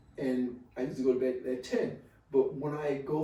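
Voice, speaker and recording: A fairly quick pace with audible room echo. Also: man. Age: 70s. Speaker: retired college administrator, healthy aging guest. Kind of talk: podcast interview. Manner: animated.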